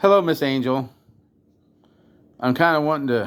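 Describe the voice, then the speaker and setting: A man speaks with ordinary pitch variation. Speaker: drum restorer, YouTuber. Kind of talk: tutorial; casual chat. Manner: rambling, casual.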